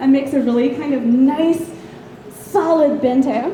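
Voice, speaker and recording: Over noticeable background noise and audible room echo, a woman speaks in a high pitch with a Southern US accent. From US South. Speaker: convention panelist. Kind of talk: lecture. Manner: hesitant, many ums.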